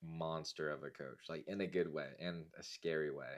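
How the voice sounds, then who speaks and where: A speaker with an American accent talks in a monotone, flat intonation. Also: man. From US West (Las Vegas, Nevada). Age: 20s. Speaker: vlogger. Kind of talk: casual monologue vlog.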